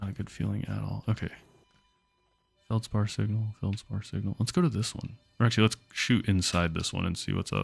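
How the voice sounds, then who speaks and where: Whispering at a fairly quick pace, a man speaks with music in the background. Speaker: video game streamer. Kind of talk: live gameplay commentary. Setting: livestream.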